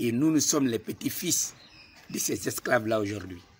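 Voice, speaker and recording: A man talks at a fairly slow pace. Noticeable background noise is present. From Guinea. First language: a Guinean language, not French (speaking French). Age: young. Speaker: political activist. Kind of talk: political address to camera.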